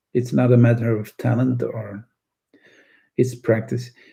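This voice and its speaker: Slowish and medium in pitch, a man's voice has a dark, mellow tone and vocal fry. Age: 60s. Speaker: art teacher. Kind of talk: live stream chat. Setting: live stream.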